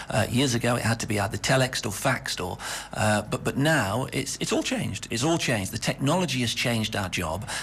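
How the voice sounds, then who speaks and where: Here is a man with a northern English accent and a medium pitch. He talks at a fairly quick pace against noticeable background noise. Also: lively intonation. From northwest England. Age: 50s. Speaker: radio executive. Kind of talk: radio interview. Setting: studio.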